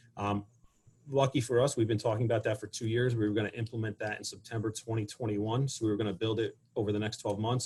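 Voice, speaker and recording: A man talks at a very fast pace in a medium pitch. His voice is somewhat breathy. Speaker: school administrator. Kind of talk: panel presentation.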